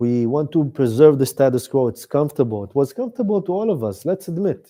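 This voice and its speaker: Talking at a very fast pace with very wide pitch swings, the speaker has a dark, mellow tone and an Israeli accent. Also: man, fairly high pitch for a man. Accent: Israeli Hebrew. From Israel, Tel Aviv area. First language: Hebrew. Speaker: author and activist. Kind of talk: talk with audience Q&A. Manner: halting, searching for English words.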